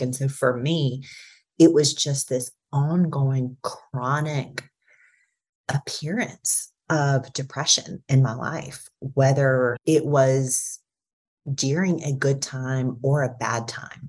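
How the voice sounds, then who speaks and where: With a very deep, low pitch and fairly even intonation, a woman sounds somewhat breathy as her loudness swings widely. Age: 30s. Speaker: podcast guest sharing personal experience. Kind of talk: casual chat.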